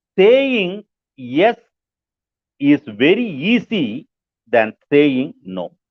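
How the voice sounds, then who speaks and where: A man with an Indian accent, fairly high pitch and very wide pitch swings, at a very slow pace with long, frequent pauses. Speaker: pastor, book review presenter. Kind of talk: book review talk. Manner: slow, repetitive.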